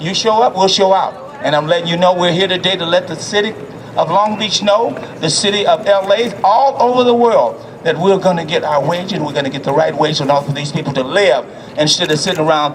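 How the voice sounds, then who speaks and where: Amid noticeable background noise, the speaker sounds animated, moving at a fairly quick pace with ordinary pitch variation. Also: man. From US South. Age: 70s. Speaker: city councilman. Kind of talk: rally speech. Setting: outdoor rally.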